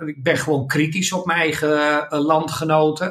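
A man is talking very slowly. His voice sits fairly high in pitch. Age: 60s. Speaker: professional speaker and consultant. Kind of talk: casual interview.

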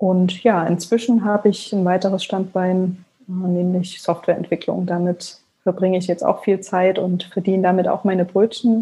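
In a very clean recording with a silent background, a woman with a dark, mellow, somewhat breathy tone talks at a moderate pace and medium pitch in a monotone, flat intonation. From Leipzig, eastern Germany. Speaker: blogger and author. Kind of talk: interview.

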